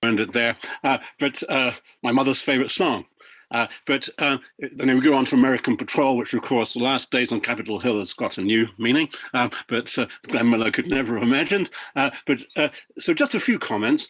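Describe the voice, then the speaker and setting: A man with a British accent talks at a medium pitch. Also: ordinary pitch variation, fairly quick pace. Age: 70s. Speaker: professor presenting research. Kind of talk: webinar presentation. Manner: halting, many fillers.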